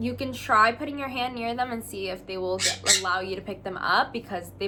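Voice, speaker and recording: Behind the speech, music is playing. The woman's voice has a medium pitch. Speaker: pet bird care educator. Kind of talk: casual talk to camera. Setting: lawnmower noise in background.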